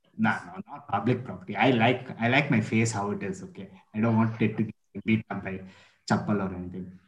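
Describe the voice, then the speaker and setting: A man with an Indian accent talks at a very fast pace in a fairly low, somewhat breathy voice. His pitch varies in an ordinary way while his loudness swings widely. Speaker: college student. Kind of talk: casual chat.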